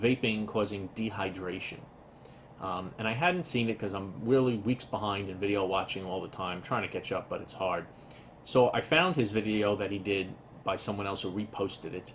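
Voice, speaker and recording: A somewhat breathy man with an American accent speaks at a fairly low pitch. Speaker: tech and vaping vlogger. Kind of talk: casual vlog commentary. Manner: fast; hesitant fillers.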